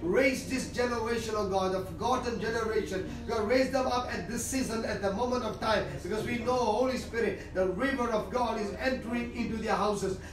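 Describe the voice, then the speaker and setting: A man speaking over noticeable background noise, with audible room echo. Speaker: preacher giving prophecy. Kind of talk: fervent prophetic prayer, declaring and praying aloud. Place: home room.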